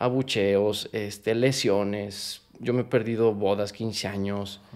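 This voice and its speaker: A quiet background behind a man's voice. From Mexico. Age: 30s. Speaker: professional footballer; interview guest. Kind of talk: interview. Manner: animated. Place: home room. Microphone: studio mic.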